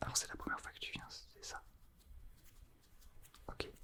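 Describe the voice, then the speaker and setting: A man whispering over noticeable background noise. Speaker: ASMR artist. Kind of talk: ASMR role play. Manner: whispered.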